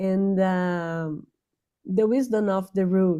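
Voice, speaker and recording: A woman with a non-native accent speaks at a very slow pace, in a medium pitch with a dark, mellow tone and fairly even intonation. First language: not English. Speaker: invited speaker on spirituality. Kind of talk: online talk. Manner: halting, many fillers.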